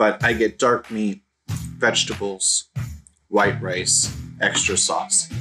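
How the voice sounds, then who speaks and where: A man talks while faint music plays in the background. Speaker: food reviewer. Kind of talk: casual food review vlog. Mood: enthusiastic. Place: home room. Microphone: phone near.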